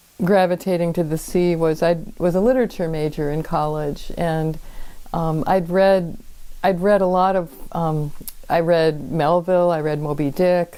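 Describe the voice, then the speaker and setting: A dark, mellow tone with an American accent. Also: woman. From US Midwest, Minnesota. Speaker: former commercial fisher and writer. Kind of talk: interview. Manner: halting.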